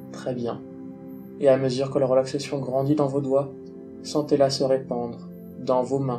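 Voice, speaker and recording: Music plays in the background as a man speaks at a medium pitch. His tone is soothing and his intonation fairly even. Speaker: hypnosis guide. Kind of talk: guided relaxation. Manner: slow, soothing.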